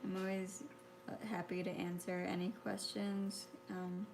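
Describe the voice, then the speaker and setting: A woman speaks quietly. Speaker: artist. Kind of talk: painting tutorial. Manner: halting.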